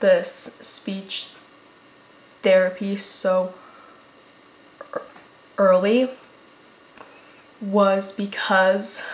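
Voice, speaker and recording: With noticeable background noise behind her, a woman with an American accent talks at a very slow pace and medium pitch, her intonation monotone and flat, with long, frequent pauses. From United States. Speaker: public health podcast host. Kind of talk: personal testimony in podcast monologue. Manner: halting, with repetitions.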